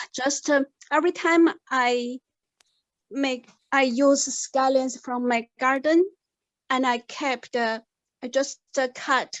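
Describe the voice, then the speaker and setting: A woman with a non-native accent and a high voice, very slow and fairly even in intonation, with long, frequent pauses. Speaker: participant. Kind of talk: group video discussion. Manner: halting.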